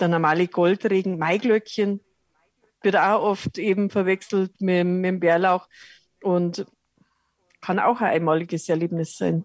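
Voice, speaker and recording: The speech moves at a fairly slow pace with long, frequent pauses. Intonation is fairly even, and the sound is dry and close with no echo. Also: woman, medium pitch for a woman. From rural Lower Bavaria, Germany. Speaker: cook and wild herb expert. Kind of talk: interview.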